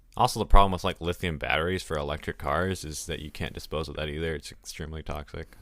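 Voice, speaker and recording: On a very clean recording with a silent background, a man with a very deep, low pitch and an American accent talks at a very fast pace, his intonation fairly even and his loudness swinging widely. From Texas. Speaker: podcast co-host. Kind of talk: casual chat.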